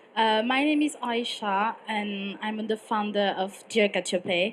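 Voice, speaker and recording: A woman with a fairly high pitch speaks at a very slow pace. Her intonation stays fairly even. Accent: French. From French-speaking Switzerland. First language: French. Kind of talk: panel discussion. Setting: stage with live audience. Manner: halting, many fillers.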